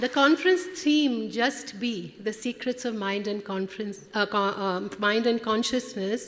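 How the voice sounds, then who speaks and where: Through noticeable background noise, a woman with a fairly high pitch and lively intonation speaks at a fairly slow pace with hardly any pauses. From India (Kolkata). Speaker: conference director. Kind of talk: welcome speech. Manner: halting.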